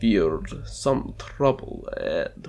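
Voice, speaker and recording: A man's voice over music in the background. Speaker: audiobook narrator. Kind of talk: dramatic audiobook reading.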